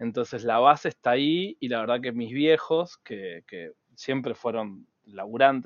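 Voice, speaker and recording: A man with a plain, everyday voice speaks at a moderate pace, his medium pitch rising and falling in an ordinary way. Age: 40s. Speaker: cybersecurity entrepreneur. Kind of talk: interview.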